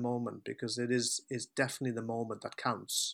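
A man talks at a fairly quick pace in a medium-pitched, bright, sharp voice. The recording is very clean, with a silent background. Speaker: author and life coach. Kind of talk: interview conversation. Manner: hesitant with fillers.

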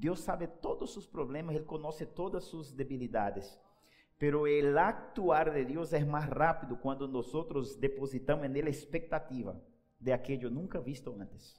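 Audible room echo surrounds a man speaking with a Spanish accent. His pitch is fairly high, and his pace is moderate. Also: ordinary pitch variation. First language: Spanish (speaking Portuguese). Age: 30s. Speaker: pastor. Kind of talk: sermon.

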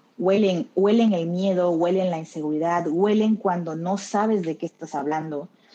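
Speaking at a moderate pace with hardly any pauses, a woman uses a fairly low, dark, mellow voice with ordinary pitch variation. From Mexico (Tabasco). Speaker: clinical research associate. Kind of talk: interview.

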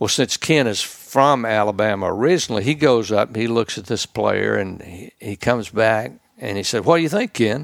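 In a Mississippi accent, a man speaks at a moderate pace with hardly any pauses. Vocal fry runs through his voice. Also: medium pitch for a man, ordinary pitch variation, dry, close sound with no echo. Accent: US Southern (Mississippi). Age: old. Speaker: retired sportscaster. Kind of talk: casual interview chat.

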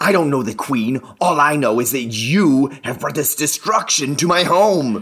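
A man puts on a character voice at a fairly high pitch. His pace is moderate. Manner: bitter, accusing.

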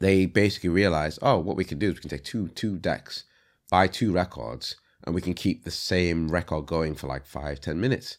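At a fairly quick pace, a man talks in a very deep, low pitch with vocal fry and ordinary pitch variation. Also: very clean recording, silent background. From Leeds, northern England (born in Congo). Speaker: rapper, director and visual artist. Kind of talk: casual interview.

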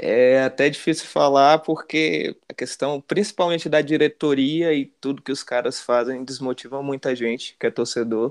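Over a quiet background, a man with a fairly high pitch uses an ordinary speaking voice, talking at a moderate pace with fairly even intonation and hardly any pauses. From Brasília, Brazil (Gama). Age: 20s. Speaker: football fan, channel supporter. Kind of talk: casual chat.

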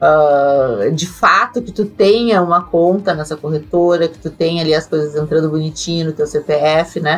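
A woman's very deep, low voice in a southern Brazilian accent, with ordinary pitch variation, a moderate pace and hardly any pauses. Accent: southern Brazilian (gaúcho) Portuguese. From Brazil, Rio Grande do Sul. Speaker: accountant and crypto tax expert. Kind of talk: interview. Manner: hesitant, many fillers.

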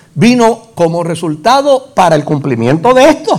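Talking with a Puerto Rican accent at a fairly slow pace over noticeable background noise, a man with a high pitch makes very wide pitch swings. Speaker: pastor. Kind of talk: sermon. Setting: church.

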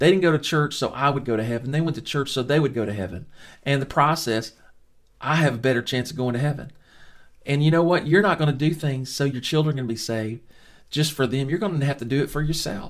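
On a very clean recording with a silent background, a man with a Southern US accent talks in an animated tone at a very fast pace, with a fairly high pitch and ordinary pitch variation. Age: 50s. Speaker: Bible teacher. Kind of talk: Bible study lesson.

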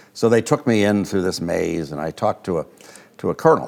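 At a fairly quick pace, a man speaks with an American accent and ordinary pitch variation. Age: 70s. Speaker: retired space scientist. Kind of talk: interview. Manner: halting, hesitant with filler words.

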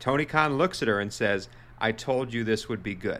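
Bright, sharp male voice in a Boston accent, fairly quick, with ordinary pitch variation. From US Northeast, Boston. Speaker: wrestling podcast co-host. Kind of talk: casual chat. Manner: animated.

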